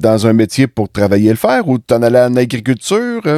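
A man with a Quebec accent, medium pitch, a dark, mellow tone, ordinary pitch variation and a fairly quick pace, in dry, close sound with no echo. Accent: Québécois French. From Quebec, La Visitation near Saint-Hyacinthe. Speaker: podcast host and farmer. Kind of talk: casual interview.

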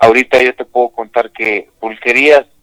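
A man talks at a fairly slow pace in a Mexico City accent. His intonation is fairly even, and the sound is dry and close, with no echo. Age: 50s. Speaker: pulque bar owner. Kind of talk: interview. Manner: halting, repeats words.

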